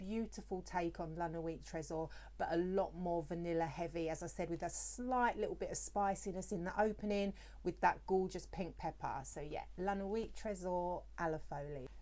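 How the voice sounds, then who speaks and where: Speaking in a British accent, a woman keeps a moderate pace. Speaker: perfume reviewer, beauty YouTuber. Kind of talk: product review vlog.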